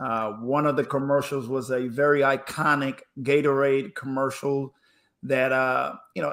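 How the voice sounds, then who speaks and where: Fairly slowly, a man talks in a fairly high-pitched voice. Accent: slight Spanish. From Panama. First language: Spanish. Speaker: former pro basketball player, speaker. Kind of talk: interview storytelling. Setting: live stream. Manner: energetic.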